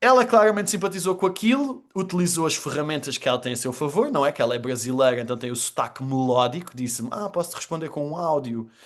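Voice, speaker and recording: A man's animated, fairly high voice at a very fast pace, with hardly any pauses and very wide pitch swings. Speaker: storytelling trainer and communicator. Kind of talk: podcast interview.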